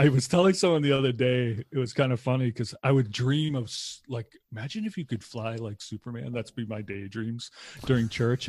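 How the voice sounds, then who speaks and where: A man with an American accent at medium pitch, fairly quick and somewhat breathy, ordinary pitch variation, big swings in loudness, dry and close with no echo. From Massachusetts (Lowell, north of Boston). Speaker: chaplain and podcast co-host. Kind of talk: casual conversational interview.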